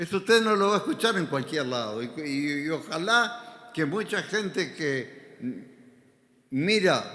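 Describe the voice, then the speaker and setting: A man with a high pitch talks at a very slow pace with lively intonation. Room echo is audible. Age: 80s+. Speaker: pastor. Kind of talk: sermon.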